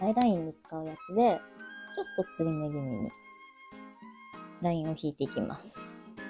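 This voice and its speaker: Soft-spoken and fairly low in pitch, a woman talks at a moderate pace with long, frequent pauses while clear music plays in the background. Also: lively intonation. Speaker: makeup vlogger. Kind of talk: casual makeup vlog talk to camera. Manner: quiet, soft-spoken. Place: home room. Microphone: webcam.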